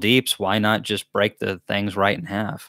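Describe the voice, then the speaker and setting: A man with a Southern US accent talks at a moderate pace with fairly even intonation, the sound dry with no echo and the background quiet. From US South. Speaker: beekeeper and channel host. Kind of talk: live Q&A chat. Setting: livestream from a laptop. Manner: casual, chatty. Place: home room. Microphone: studio mic.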